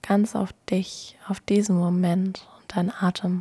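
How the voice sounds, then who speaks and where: A woman speaks at medium pitch in a calm, soothing, dark, mellow tone that is somewhat breathy. Her intonation is monotone and flat, and her pace is very slow. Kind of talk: guided meditation. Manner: slow, calm, soothing and gentle.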